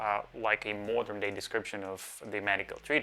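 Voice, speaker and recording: A man speaks with a Russian accent at a moderate pace. His tone is bright and sharp. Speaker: psychiatrist, educational video host. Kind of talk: educational talk.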